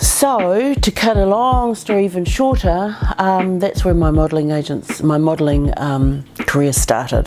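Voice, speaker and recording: Against noticeable background noise, a woman with a fairly low pitch speaks fairly slowly with hardly any pauses, her pitch swinging very widely while her loudness stays very even. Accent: New Zealand. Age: 50s. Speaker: former actress and model. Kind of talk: interview storytelling. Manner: hesitant with many fillers.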